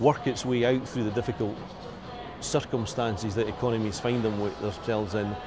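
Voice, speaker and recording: Music plays in the background and audible room echo surrounds a man with a Scottish accent who speaks at a medium pitch and a fairly quick pace. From Scotland. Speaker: business executive. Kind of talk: business interview.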